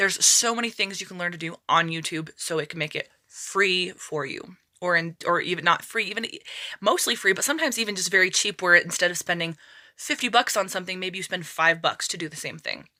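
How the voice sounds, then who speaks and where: Bright, sharp woman's voice at a medium pitch, fairly quick, with ordinary pitch variation. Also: big swings in loudness. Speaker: budgeting YouTuber. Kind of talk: casual talk-to-camera vlog. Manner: fast.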